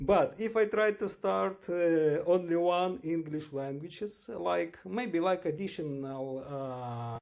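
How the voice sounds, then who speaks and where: Speaking very slowly with hardly any pauses, a man with a slight Ukrainian accent uses lively intonation at a high pitch. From western Ukraine. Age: 40s. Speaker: English learner. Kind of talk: interview. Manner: halting.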